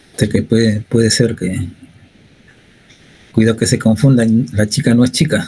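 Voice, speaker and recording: A man at medium pitch and a fairly slow pace, with ordinary pitch variation and long, frequent pauses. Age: 60s. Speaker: university physics lecturer. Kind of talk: lecture. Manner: conversational, frequent tag questions.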